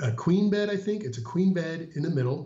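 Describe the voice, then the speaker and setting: Somewhat breathy, a man speaks at a fairly quick pace with audible room echo. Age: 50s. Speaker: Disney vacation guest sharing trip report. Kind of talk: casual interview chat.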